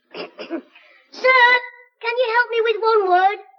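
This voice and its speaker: Squeaky and extremely high, a woman's put-on character voice comes through. She speaks at a very slow pace. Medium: old radio play. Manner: brusque, correcting.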